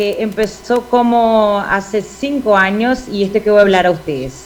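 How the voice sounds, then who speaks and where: Against noticeable background noise, a woman with a Portuguese accent speaks at a medium pitch with ordinary pitch variation. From Brazil. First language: Portuguese (speaking Spanish). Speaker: ophthalmologist, glaucoma surgeon. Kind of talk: conference lecture. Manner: halting, many fillers and self-corrections.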